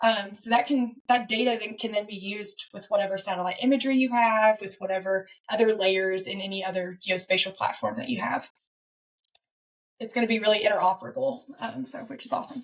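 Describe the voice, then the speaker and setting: Moving at a fairly quick pace, a woman with a Southern US accent shows big swings in loudness and ordinary pitch variation. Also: fairly high pitch for a woman. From US South. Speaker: fire data researcher. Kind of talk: interview.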